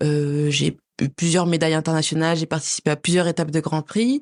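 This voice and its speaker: A woman's plain, everyday voice, fairly low in pitch, at a moderate pace, dry and close with no echo over a quiet background. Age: 20s. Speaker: figure skater. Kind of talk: interview.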